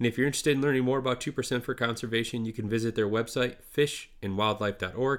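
With an American accent and a normal speaking voice, a man at medium pitch talks at a fairly quick pace with fairly even intonation, on a very clean recording with a silent background. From northern lower Michigan. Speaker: podcast host. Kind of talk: casual interview chat.

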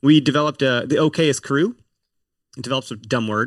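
Against a quiet background, a man with an American accent speaks in a normal speaking voice at a moderate pace, with fairly even intonation and a dry, close sound with no echo. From Wisconsin. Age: 30s. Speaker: hunting podcaster. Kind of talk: casual chat. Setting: video call.

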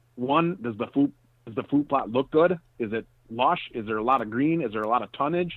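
In an ordinary speaking voice, a man talks at a fairly quick pace and medium pitch, with ordinary pitch variation. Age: 40s. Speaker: hunting and land management expert. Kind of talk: interview.

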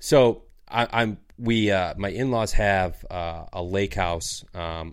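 Speaking at a very slow pace, a man with a Michigan accent has a very deep, low pitch on a very clean recording with a silent background. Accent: Upper Midwest US (Michigan). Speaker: outdoors podcast host. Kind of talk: casual chat.

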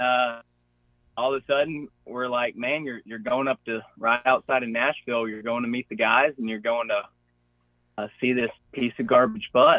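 Here a man talks with a Gulf Coast Southern US accent at a medium pitch. His intonation is fairly even and his pace moderate. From Florida (Pensacola). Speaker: hunter. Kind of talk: casual chat.

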